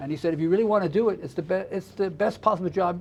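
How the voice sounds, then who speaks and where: A man is talking. He speaks with a New York accent. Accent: American (New York). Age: 70s. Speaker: drummer and music teacher. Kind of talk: interview. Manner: halting, many repetitions.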